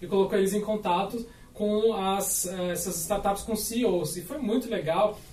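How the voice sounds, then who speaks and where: Audible room echo and noticeable background noise surround a man who speaks at a moderate pace. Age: 30s. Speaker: startup founder. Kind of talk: podcast panel discussion.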